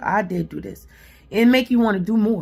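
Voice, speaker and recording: A woman speaks at a medium pitch and moderate pace in an animated tone. Her voice is somewhat breathy, with ordinary pitch variation. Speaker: self-help vlogger. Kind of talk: motivational vlog talk.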